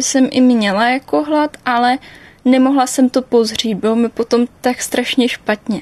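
In a dry, close sound with no echo, a woman speaks fairly slowly at a high pitch with ordinary pitch variation. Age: 20s. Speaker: interviewee recovered from anorexia. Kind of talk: personal testimony.

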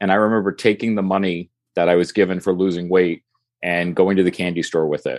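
Very deep and low, a man's voice runs at a very fast pace in monotone, flat intonation, dry and close with no echo against a quiet background. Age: 40s. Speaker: weight-loss social media creator. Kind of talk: casual interview.

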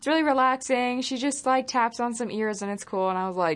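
A woman speaks in a high pitch with lively intonation. The background is quiet. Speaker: interviewer and video producer. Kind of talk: casual interview.

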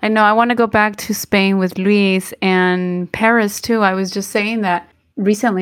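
A medium-pitched woman in a Spanish accent speaks with fairly even intonation in a very clean recording with a silent background. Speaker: podcast co-host. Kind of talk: casual bilingual chat. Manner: halting, many fillers.

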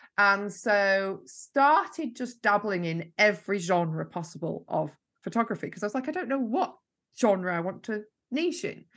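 With a Yorkshire accent and lively intonation, a woman talks against a quiet background. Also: medium pitch for a woman, moderate pace. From Yorkshire, northern England. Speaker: marketing mentor. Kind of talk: interview. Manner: energetic.

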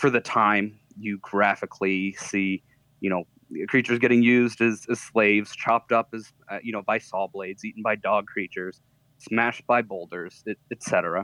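A man's fairly low voice, bright and sharp in tone, comes at a moderate pace with fairly even intonation in a dry, close sound with no echo. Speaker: podcast guest. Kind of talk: casual chat.

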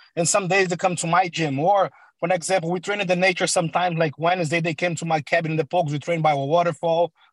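A man with a Portuguese accent speaks at a very fast pace and a high pitch, in monotone, flat intonation, with a dry, close sound and no echo. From Brazil (Sao Paulo). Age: 30s. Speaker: MMA coach. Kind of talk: interview. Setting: video call.

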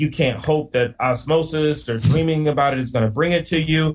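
Somewhat breathy, a man with an American accent, fairly high in pitch, with fairly even intonation and a fairly quick pace. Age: 40s. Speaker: landscape business owner and podcaster. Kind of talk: casual interview chat.

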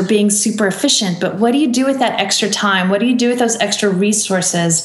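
A woman with a fairly high voice is heard with audible room echo and noticeable background noise. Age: 40s. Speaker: author and business coach. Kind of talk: interview.

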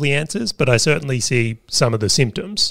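With an Australian accent, a man talks at a fairly quick pace with lively intonation. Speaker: podcast co-host, business owner. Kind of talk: casual chat.

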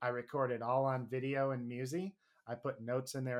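A man talks at medium pitch. His intonation stays monotone and flat. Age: 30s. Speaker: bluegrass musician and music teacher. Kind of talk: interview.

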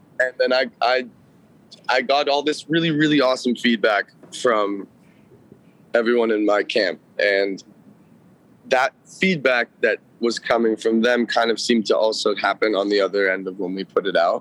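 The voice has a Californian accent and ordinary pitch variation, moving at a moderate pace with long, frequent pauses. The sound is dry and close, with no echo. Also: man, medium pitch for a man. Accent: Californian American. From Los Angeles, Studio City. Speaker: musician. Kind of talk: casual interview.

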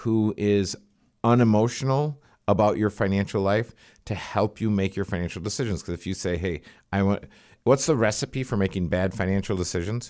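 This is a normal speaking voice at a moderate pace. The pitch varies in an ordinary way. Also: man. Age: 50s. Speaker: financial planner. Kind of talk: casual chat. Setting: studio.

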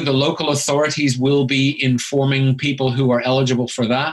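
This is an ordinary speaking voice: a man at a fairly quick pace with a fairly high pitch and fairly even intonation. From Canada. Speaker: chartered accountant and business author. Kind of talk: podcast interview.

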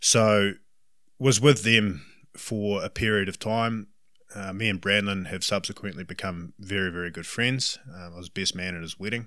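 This man has a New Zealand accent and a fairly low pitch, with a bright, sharp tone. The recording is very clean, with a silent background. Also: fairly even intonation, moderate pace. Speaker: hunting guide. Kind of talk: interview. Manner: talkative.

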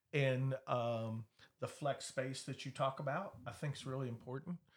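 A man speaks at a moderate pace in a fairly high pitch, his voice somewhat breathy. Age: 50s. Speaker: real estate broker and auctioneer. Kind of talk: casual chat.

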